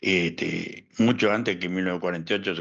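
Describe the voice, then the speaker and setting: A man with a La Plata accent and a bright, sharp tone, over a quiet background. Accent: Argentine, La Plata. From La Plata, Argentina. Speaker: historian and analyst. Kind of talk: interview answer.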